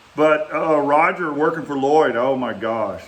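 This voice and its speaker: Noticeable background noise and audible room echo surround a man with a Texas accent. He talks at a fairly slow pace. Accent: Texas Southern. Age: 60s. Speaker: vlogger reminiscing, former bricklayer. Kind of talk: casual storytelling monologue. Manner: halting, with many fillers.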